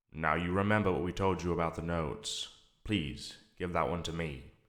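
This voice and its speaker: A man puts on a character voice with very deep, low pitch and a resonant sound, speaking at a moderate pace. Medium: read story. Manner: calm, patient, politely insistent.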